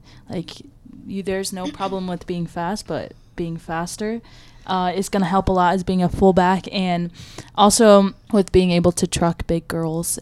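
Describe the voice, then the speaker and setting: A woman with an American accent, an ordinary speaking voice, fairly low pitch, fairly even intonation, and a moderate pace. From Michigan. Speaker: college rugby player. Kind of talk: casual interview. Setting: small podcast room in a library.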